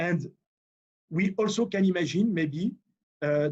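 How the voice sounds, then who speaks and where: A man talks in a French accent with a high pitch. His pitch variation is ordinary. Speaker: engineer presenting at a webinar. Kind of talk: technical presentation. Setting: video call. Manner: halting, many fillers.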